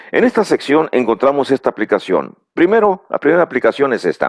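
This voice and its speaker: The sound is dry and close with no echo. A man speaks at a fairly high pitch with very wide pitch swings. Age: 60s. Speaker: preacher. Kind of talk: bible teaching lecture. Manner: halting, with fillers and repeated words.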